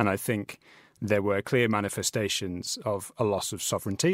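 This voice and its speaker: A plain, everyday voice moves at a fairly quick pace with fairly even intonation, in a very clean recording with a silent background. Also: man. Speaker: trade reporter. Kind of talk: interview. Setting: studio.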